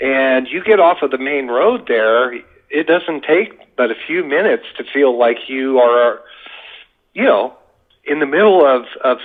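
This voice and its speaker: A man speaks at a fairly high pitch. His pace is fairly slow. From US West, Las Vegas, Nevada. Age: 60s. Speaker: UFO witness. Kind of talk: podcast interview.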